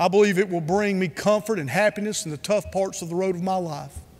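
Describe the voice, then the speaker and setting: A man with a North Carolina accent speaks at a fairly quick pace in a high voice. His intonation stays fairly even. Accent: Southern US (North Carolina). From US South, Rutherford County, North Carolina. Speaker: conference speaker. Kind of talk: keynote speech.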